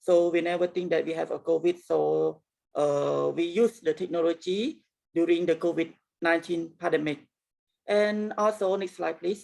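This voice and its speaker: Speaking in a Cambodian accent, a woman has a dark, mellow tone and fairly low pitch. Her pace is moderate and her intonation fairly even. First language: Khmer. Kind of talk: presentation. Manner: halting, many fillers.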